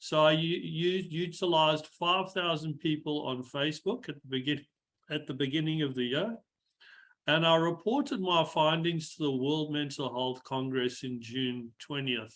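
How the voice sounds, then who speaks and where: A man with a South African accent speaks at a moderate pace. His pitch is fairly high, with ordinary pitch variation. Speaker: engineer and mental health speaker. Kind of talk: webinar talk.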